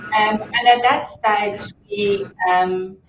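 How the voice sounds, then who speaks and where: A woman speaks with a South African accent. Her pitch is medium and her intonation fairly even. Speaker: fintech entrepreneur. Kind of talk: interview.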